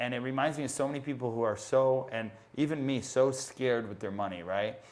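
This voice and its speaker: Over noticeable background noise, a man with an American accent speaks in an animated tone at a fairly quick pace, with a medium pitch and ordinary pitch variation. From Connecticut, US. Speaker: online business entrepreneur. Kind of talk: podcast interview.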